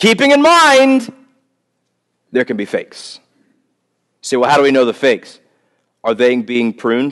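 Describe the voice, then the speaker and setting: Against a quiet background, a man with an American accent talks at a moderate pace, leaving long, frequent pauses. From US South. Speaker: pastor. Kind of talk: sermon. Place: church. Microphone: headset.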